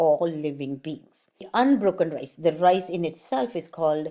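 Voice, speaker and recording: A woman speaks with an Indian accent at a fairly slow pace. Her pitch is fairly low, and her tone is dark and mellow. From born in India, grew up in Germany. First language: Sanskrit. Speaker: art channel host, mandala artist. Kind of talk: explanatory talk to camera.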